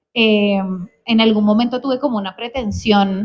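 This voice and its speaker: A woman at a fairly high pitch, at a fairly slow pace, with monotone, flat intonation. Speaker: novelist. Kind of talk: interview about her novel. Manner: halting, many repetitions.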